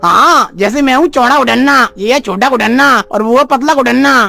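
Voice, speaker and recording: This is a cartoonish character voice. It is pitched high. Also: fairly quick pace. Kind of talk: comic overacting. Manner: naive, earnest.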